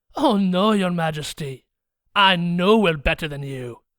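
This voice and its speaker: A man's high-pitched, put-on character voice. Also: moderate pace, very clean recording, silent background. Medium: read story. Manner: jaunty, boastful.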